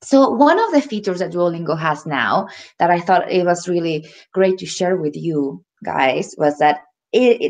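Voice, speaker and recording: The intonation here is lively. The background is quiet. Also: woman. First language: Spanish. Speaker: ESL teacher. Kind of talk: webinar presentation.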